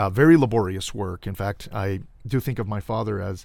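A man with an American accent talks at a moderate pace in a plain, everyday voice. The recording is very clean, with a silent background. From Los Angeles, California (Cudahy). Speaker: political candidate. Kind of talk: interview. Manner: formal.

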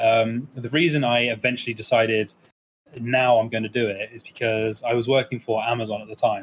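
The voice is somewhat breathy, with monotone, flat intonation. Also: man, medium pitch for a man. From England (East Midlands), partly raised in Germany. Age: 20s. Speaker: speedrunner and streamer. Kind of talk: casual interview chat. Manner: hesitant, many fillers.

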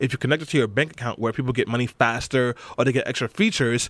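A man talks with a New York accent. The sound is dry and close, with no echo. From New York, Brooklyn. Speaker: political organizer. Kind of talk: interview. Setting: studio.

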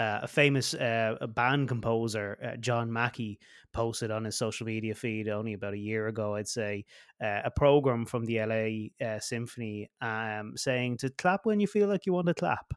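On a very clean recording with a silent background, a man with an Irish accent speaks at a medium pitch and a moderate pace. The sound is dry and close with no echo, and his pitch varies in an ordinary way. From West of Ireland. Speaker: podcast host and band director. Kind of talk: interview. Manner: halting, stumbling.

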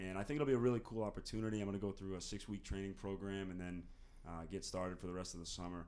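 This man talks at a very fast pace with an American accent. His pitch is fairly low. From US Northeast (North Andover, Massachusetts). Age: 20s. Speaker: college student. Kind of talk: casual interview.

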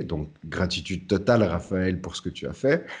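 The background is quiet as a man speaks at a moderate pace. His voice sits fairly low, with a dark, mellow tone. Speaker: podcast host. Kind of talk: casual chat.

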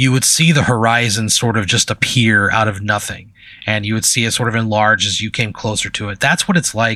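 An unforced reading voice with fairly even intonation carries the words.

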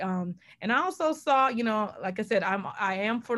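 A woman speaks at a moderate pace with an American accent, in an ordinary speaking voice at a medium pitch. The recording is very clean, with a silent background. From New Orleans, US South. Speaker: journalist and podcast host. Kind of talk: interview.

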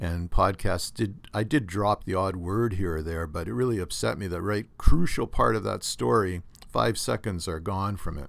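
In a very clean recording with a silent background, a man with a Canadian accent speaks in a very deep, low pitch with vocal fry and hardly any pauses. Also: moderate pace. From Canada, southern Ontario. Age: 60s. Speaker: podcast host, doctor. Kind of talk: casual monologue podcast. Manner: rambling, conversational.

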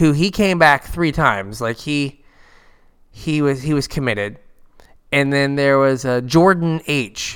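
With a normal speaking voice, a man talks at a fairly high pitch and a fairly slow pace, with ordinary pitch variation. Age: 40s. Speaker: podcast co-host, card game player. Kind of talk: casual chat.

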